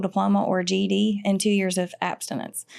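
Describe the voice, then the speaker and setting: A woman speaks at a fairly quick pace with a Southern US accent. Her pitch sits in the medium range. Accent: cool country Southern. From US South, Georgia (Ludowici). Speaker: peer recovery specialist. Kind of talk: podcast interview.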